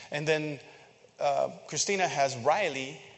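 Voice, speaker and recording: A man speaks at a fairly slow pace with vocal fry. His pitch varies in an ordinary way. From Philippines. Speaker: church member. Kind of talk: sermon. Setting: church. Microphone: echo.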